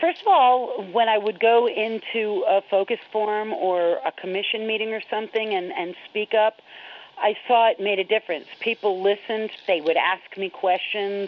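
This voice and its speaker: Here is an ordinary speaking voice from a woman with an American accent. Her pitch is fairly high, with ordinary pitch variation and a moderate pace. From New York. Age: 40s. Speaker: HIV educator and activist. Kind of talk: personal interview storytelling.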